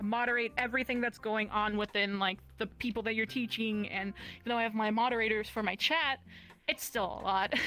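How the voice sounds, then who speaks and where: With music in the background, a woman talks at a fairly quick pace and fairly even intonation. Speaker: VR content creator and model. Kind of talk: casual chat. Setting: live stream talk show.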